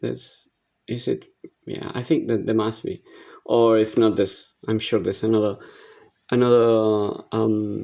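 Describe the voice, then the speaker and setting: A man's medium-pitched voice with a dark, mellow tone, monotone and flat, at a fairly slow pace broken by long, frequent pauses. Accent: Argentine. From Argentina. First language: Spanish. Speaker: digital art instructor. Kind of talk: tutorial. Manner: halting, many fillers.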